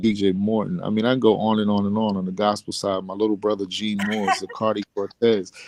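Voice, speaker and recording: Music plays in the background as a man with an American accent talks at a fairly quick pace and fairly low pitch, the sound dry and close with no echo. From Bronx, New York. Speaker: R&B singer and actor. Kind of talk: interview answer.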